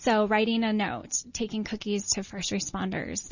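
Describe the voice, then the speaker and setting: A woman with an American accent speaks fairly slowly, her medium-pitched voice somewhat breathy and her intonation fairly even. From upstate New York. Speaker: author and mothers' advocate. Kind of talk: interview.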